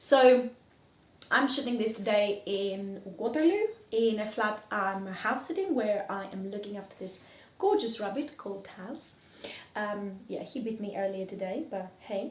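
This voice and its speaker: A woman speaks fairly slowly in a Greek accent, with big swings in loudness. Audible room echo and noticeable background noise surround her. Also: fairly high pitch for a woman. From Greece. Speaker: podcast host. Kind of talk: casual monologue. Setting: house-sitting flat. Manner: animated.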